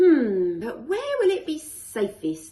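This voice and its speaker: A woman puts on a character voice, high-pitched with very wide pitch swings. She goes at a very slow pace. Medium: read story. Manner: chattering.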